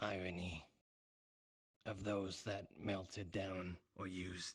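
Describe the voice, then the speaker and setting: A man's put-on character voice, very deep and low in pitch, raspy, flat and monotone, at a fairly slow pace. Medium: game stream. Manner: refers to himself in third person.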